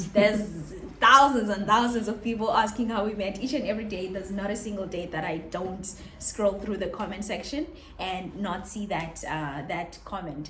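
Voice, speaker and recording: Over noticeable background noise and audible room echo, a woman talks at a moderate pace with a medium pitch. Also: ordinary pitch variation. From South Africa. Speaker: vlogger. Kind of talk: casual chat.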